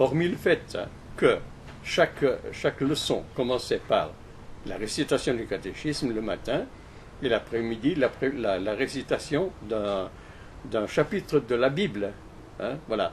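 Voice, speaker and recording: A man's somewhat breathy, medium-pitched voice at a very slow pace, with lively intonation and long, frequent pauses. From Switzerland, Valais. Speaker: interviewee recalling his life. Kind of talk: interview. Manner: halting, many repetitions.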